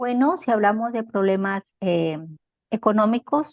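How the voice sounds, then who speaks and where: A woman speaks at a fairly slow pace in a medium pitch, with ordinary pitch variation. The sound is dry and close with no echo, over a quiet background. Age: 60s. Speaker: interviewee. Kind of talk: interview. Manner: hesitant, many fillers.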